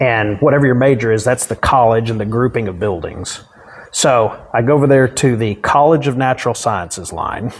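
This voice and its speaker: In a Texan accent, a man talks at a moderate pace. His pitch is medium, with ordinary variation. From Dallas area, Texas. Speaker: county judge. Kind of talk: interview answer. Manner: casual, humorous.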